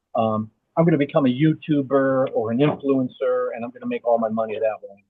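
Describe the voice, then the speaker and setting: A man's normal speaking voice, fairly high in pitch, at a fairly quick pace, with ordinary pitch variation and big swings in loudness. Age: 60s. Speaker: postal worker and artist. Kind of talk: casual chat. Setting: video call.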